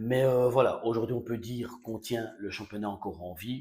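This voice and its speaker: A man speaks at a moderate pace with fairly even intonation. The recording is very clean, with a silent background. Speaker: football fan vlogger. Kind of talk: casual post-match reaction. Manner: soft-spoken; hesitant, many fillers.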